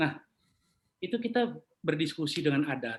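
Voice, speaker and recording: A man with a Papuan accent, a fairly high pitch and very wide pitch swings. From Papua, Jayapura. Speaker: property appraiser. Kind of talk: interview conversation. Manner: casual.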